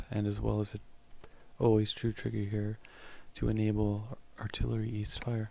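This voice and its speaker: This man is soft-spoken. He talks at a moderate pace. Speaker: gaming tutorial creator. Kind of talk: tutorial. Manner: casual with fillers.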